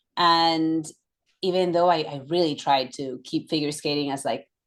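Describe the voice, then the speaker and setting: Fairly even intonation in a Catalan accent, on a very clean recording with a silent background. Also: woman. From Catalonia, Barcelona. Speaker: yoga instructor and former professional figure skater. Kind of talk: casual interview chat.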